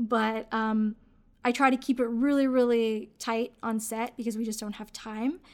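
At a moderate pace, a woman with a fairly high voice speaks with monotone, flat intonation in a very clean recording with a silent background. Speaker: podcast co-host and filmmaker. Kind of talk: casual podcast conversation about filmmaking.

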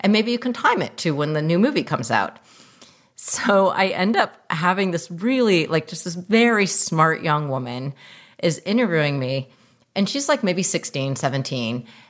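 Fairly low in pitch, a woman talks at a moderate pace, her voice making very wide pitch swings. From US. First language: non-English language. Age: 40s. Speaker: filmmaker. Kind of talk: casual interview chat.

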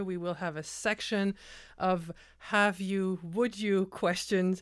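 In a French Canadian accent, a woman with a medium-pitched voice speaks very slowly on a very clean recording with a silent background. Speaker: podcast host. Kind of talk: interview. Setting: studio.

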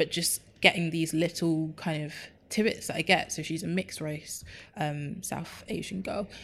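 A woman with a London accent speaks at a moderate pace in a fairly low pitch and monotone, flat intonation on a very clean recording with a silent background. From North London (Enfield). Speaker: community organiser and social media editor. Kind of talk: interview conversation.

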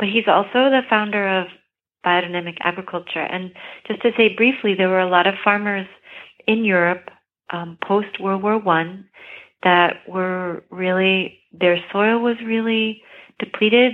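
Speaking at a fairly slow pace, a woman with an unremarkable speaking voice keeps a medium pitch and fairly even intonation. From Maine, US. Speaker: herbalist and gardener. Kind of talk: interview.

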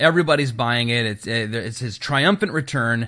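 A man with a bright, sharp tone speaks with ordinary pitch variation against a quiet background. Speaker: podcast co-host and pastor. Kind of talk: casual chat.

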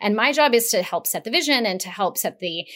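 A woman with an American accent, a normal speaking voice, a moderate pace, and a very clean recording with a silent background. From Las Vegas, Nevada. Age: 40s. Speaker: political strategist. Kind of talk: interview conversation.

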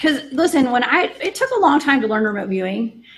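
A fairly quick voice in a Southern US accent, with noticeable background noise. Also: woman. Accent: Southern US (Georgia). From Georgia, US South. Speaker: remote viewer and paranormal radio host. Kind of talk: podcast interview.

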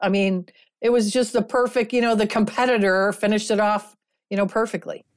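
Crowd noise fills the background as a woman speaks at a moderate pace with a medium pitch. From Kentucky, Louisville. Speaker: sports writer. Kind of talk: casual chat.

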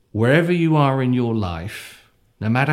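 A man in a West Country accent, medium pitch, lively intonation, on a very clean recording with a silent background. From Devon, south-west England. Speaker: mythologist and storyteller. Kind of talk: storytelling and interview conversation. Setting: sit-down interview.

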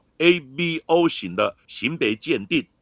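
A man's voice swings very widely in pitch, with a bright, sharp tone and vocal fry. The recording is very clean and close, with a silent background and no echo. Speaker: forensic expert, podcast host. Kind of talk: scripted narration.

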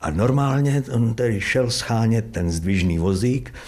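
Somewhat breathy, a man with a fairly low pitch speaks amid audible room echo. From East Bohemia, Czech Republic (Trutnov, Vysoké Mýto). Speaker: stage actor. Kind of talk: casual interview. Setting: actor's dressing room at theatre.

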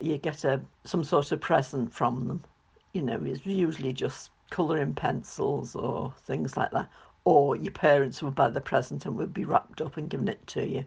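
A woman's very deep, low voice with vocal fry, a moderate pace and ordinary pitch variation. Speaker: host's mother. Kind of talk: recorded contribution, reminiscence.

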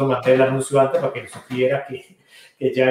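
A man speaks at a fairly quick pace. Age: 40s. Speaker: priest, podcast host. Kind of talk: casual chat.

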